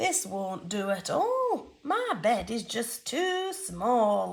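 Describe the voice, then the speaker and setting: A woman's put-on character voice, fairly high-pitched and gentle in tone, at a very slow pace. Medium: read story. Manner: kind, gentle.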